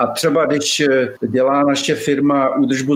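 Amid noticeable background noise, a man talks at a moderate pace with a fairly high pitch. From Czech Republic, Bohemian Paradise region. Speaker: arborist. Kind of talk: interview.

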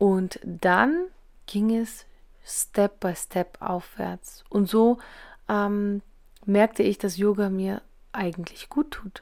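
Speaking at a very slow pace with long, frequent pauses, a woman keeps a medium pitch and ordinary pitch variation on a very clean recording with a silent background. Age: 40s. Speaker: podcast host, essential oils seller. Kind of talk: casual monologue. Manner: hesitant fillers.

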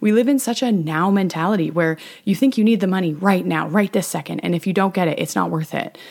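A woman's animated, very fast delivery at medium pitch, with vocal fry and ordinary pitch variation. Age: 20s. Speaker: podcast host. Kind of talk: solo podcast monologue.

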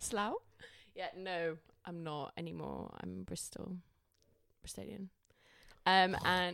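Very slowly and with long, frequent pauses, a woman speaks with big swings in loudness. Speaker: podcast co-host. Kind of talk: informal British slang. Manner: casual, chatty, swears a lot.

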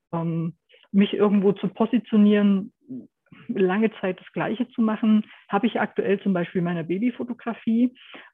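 A woman speaks in a normal speaking voice at medium pitch and a moderate pace. Her intonation stays fairly even while her loudness swings widely. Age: 50s. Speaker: photographer. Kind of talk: interview.

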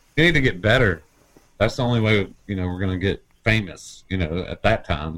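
A man with an American accent and a normal speaking voice, fairly low in pitch, at a fairly quick pace with ordinary pitch variation. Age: 40s. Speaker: musician, bass player. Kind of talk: casual chat.

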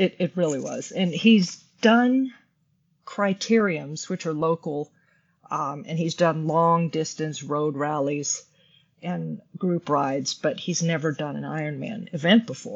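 A woman with an unremarkable speaking voice, pitched fairly low. She talks at a fairly slow pace with lively intonation. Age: 50s. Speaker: amateur triathlete. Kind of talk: casual chat.

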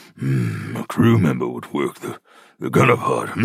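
A man is speaking. His pace is moderate. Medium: audio drama. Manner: thoughtful, analytical.

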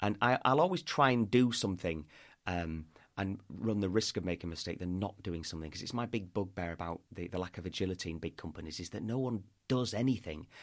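Speaking at a very fast pace in a northern English accent, a man with a very deep, low pitch and ordinary pitch variation comes through on a very clean recording with a silent background. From northern England, York. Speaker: podcast host and PR businessman. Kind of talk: interview conversation.

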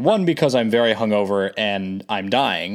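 A man with an American accent and a plain, everyday voice speaks at a fairly low pitch and fairly slow pace on a very clean recording with a silent background. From Connecticut shoreline, New England. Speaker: podcast host, flight attendant. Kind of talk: solo podcast monologue. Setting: home recording.

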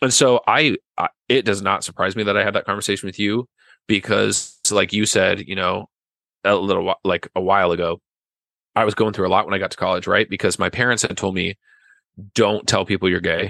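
Against a quiet background, a man with a fairly low pitch and a bright, sharp tone speaks at a fairly quick pace with fairly even intonation. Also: dry, close sound with no echo. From western Nebraska, small town. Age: 30s. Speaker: podcast guest, friend of host. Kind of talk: casual chat. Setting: video call.

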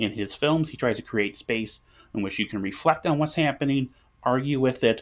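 A man speaks at a fairly quick pace and medium pitch. It is an unremarkable speaking voice with ordinary pitch variation. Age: 30s. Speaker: board game designer and publisher. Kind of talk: casual chat. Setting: remote call.

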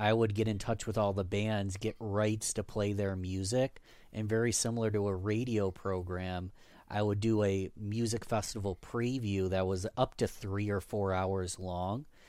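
A man with an American accent speaks at a moderate pace in a dark, mellow tone with fairly low pitch. His intonation is monotone and flat, and the recording is very clean with a silent background. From US, western New York (Rochester). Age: 30s. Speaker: podcast host and guest. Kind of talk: interview.

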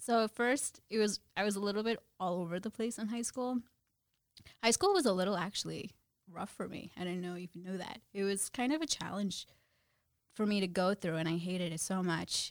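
Speaking at a fairly quick pace, a woman uses a normal speaking voice at medium pitch with ordinary pitch variation. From New Jersey. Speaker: brokerage compliance professional. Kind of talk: casual interview.

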